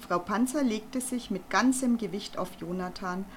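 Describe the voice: Someone reads a text aloud plainly. Pitch moves up and down by an ordinary amount.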